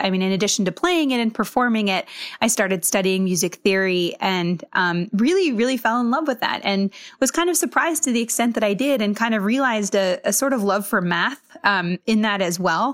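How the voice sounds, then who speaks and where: With lively intonation, an ordinary speaking voice moves at a fairly quick pace. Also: woman. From Massachusetts and US West Coast. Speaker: TV biotech reporter. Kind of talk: interview.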